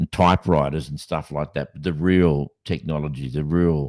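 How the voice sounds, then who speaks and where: A man with an Australian accent speaks fairly quickly in a very deep, low voice with a dark, mellow tone. The sound is dry and close, with no echo. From Western Australia (Kimberley, Broome). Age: 60s. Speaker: podcast host. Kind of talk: casual chat. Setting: live podcast. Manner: halting, with many fillers and restarts.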